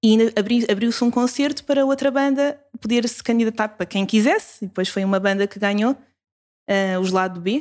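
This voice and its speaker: A woman with a European Portuguese accent speaks at a fairly high pitch and a moderate pace. The recording is very clean, with a silent background. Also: ordinary pitch variation. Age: 20s. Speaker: youth ministry coordinator. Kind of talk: casual interview.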